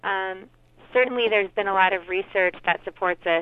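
The woman has an unremarkable speaking voice, medium in pitch, with fairly even intonation and a fairly quick pace. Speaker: psychology researcher. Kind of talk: radio interview.

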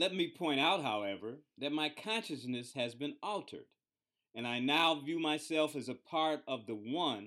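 Lively intonation marks this man's plain, everyday voice. He talks at a fairly slow pace. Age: 60s. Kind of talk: radio talk show interview; reading his own blog aloud. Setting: radio studio.

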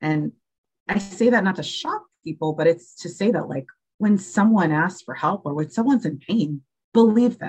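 Lively intonation marks this woman's speech, delivered at a moderate pace. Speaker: interview guest sharing mental health experience. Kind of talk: testimony. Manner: calm, steady.

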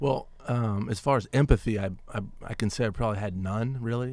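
In a very clean recording with a silent background, a man with an American accent and a plain, everyday voice speaks at a fairly quick pace with a fairly low pitch and fairly even intonation. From Washington, D.C. area. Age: 40s. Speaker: diversity consultant. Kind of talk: radio interview. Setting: studio.

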